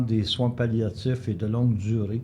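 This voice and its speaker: In a Quebec accent, a man with a dark, mellow tone and a somewhat breathy voice talks at a fairly slow pace. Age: 80s+. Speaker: local historian. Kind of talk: life story interview. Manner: hesitant, some repetitions.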